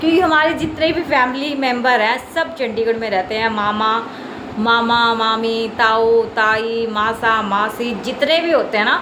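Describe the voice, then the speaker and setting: A woman is speaking in a room with audible echo. Noticeable background noise can be heard. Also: ordinary pitch variation. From Chandigarh, India. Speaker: vlogger. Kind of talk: casual vlog talk to camera. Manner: chatty, repetitive.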